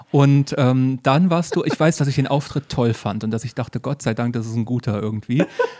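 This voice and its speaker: Against noticeable background noise, a man talks at a fairly quick pace with a medium pitch and ordinary pitch variation. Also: hardly any pauses, dry, close sound with no echo. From northern Hesse, Germany. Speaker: podcast host and comedian. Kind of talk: casual chat. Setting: living room at night.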